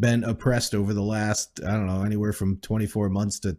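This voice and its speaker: His voice fairly low in pitch, a man speaks with a dark, mellow tone and ordinary pitch variation. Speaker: podcast co-host.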